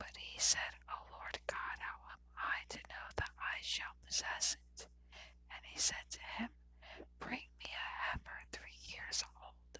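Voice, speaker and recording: A woman whispers at a very slow pace. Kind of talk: ASMR whisper reading of scripture. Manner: whispered.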